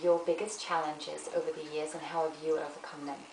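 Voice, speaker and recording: A woman at a fairly quick pace, with light background noise and audible room echo. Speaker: interviewer. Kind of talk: interview question. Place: home room.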